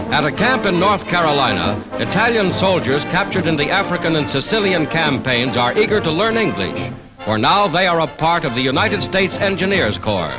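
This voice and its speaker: Music plays in the background as a man talks at a fairly quick pace with hardly any pauses. His high voice swings very widely in pitch while his loudness stays very even. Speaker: newsreel narrator. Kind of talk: newsreel narration.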